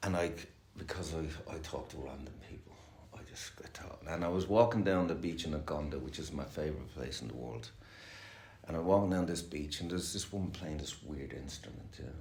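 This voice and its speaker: A man with an Irish accent speaks at a fairly quick pace in a very deep, low pitch. His pitch variation is ordinary, and room echo is audible. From Ireland. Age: 60s. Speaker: recovering addict sharing at a meeting. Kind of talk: recovery meeting share. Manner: fast; casual, swearing, hesitant fillers.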